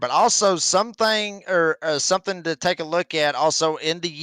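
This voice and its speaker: A man's high-pitched voice with a Southern US accent, bright, sharp tone, lively intonation and moderate pace, dry and close with no echo, on a very clean recording with a silent background. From northern Georgia, US South. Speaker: motorsport commentator. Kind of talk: live race commentary. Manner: animated.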